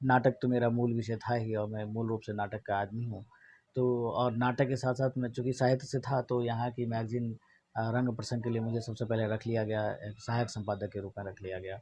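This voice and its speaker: A man with a Bihar accent, medium pitch, a somewhat breathy voice and monotone, flat intonation. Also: moderate pace. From Mithila region, Bihar, India. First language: Maithili (speaking Hindi). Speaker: theatre publications editor. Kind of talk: interview.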